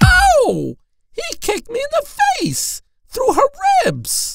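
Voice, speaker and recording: A cartoonish character voice, extremely high in pitch, at a fairly slow pace. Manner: dramatic, grumpy.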